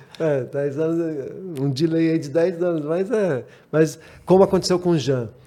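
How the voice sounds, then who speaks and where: A man speaks fairly slowly with a dark, mellow tone, a fairly high pitch, and ordinary pitch variation. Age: 60s. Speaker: rally driver. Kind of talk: casual chat.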